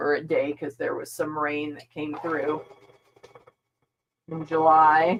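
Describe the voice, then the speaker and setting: A woman mumbling in a very deep, low pitch. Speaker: quilting channel host. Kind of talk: casual sewing vlog chat. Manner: mumbling while working.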